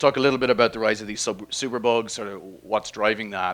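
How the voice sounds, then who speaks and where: A man speaks at a very fast pace with fairly even intonation. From Ireland. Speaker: biology professor. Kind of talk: public science talk. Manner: casual, hesitant with fillers.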